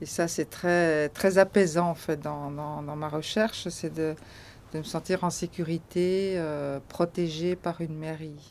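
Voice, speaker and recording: A woman talks at a very slow pace with a fairly low pitch. Her intonation is monotone and flat. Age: 60s. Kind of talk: testimony.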